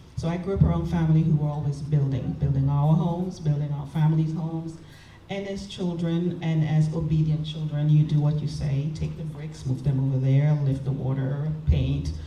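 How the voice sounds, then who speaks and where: Amid noticeable background noise and audible room echo, a woman with a very deep, low pitch speaks at a moderate pace in a monotone, flat way. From Trinidad and Tobago. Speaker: construction subcontractor. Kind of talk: panel discussion.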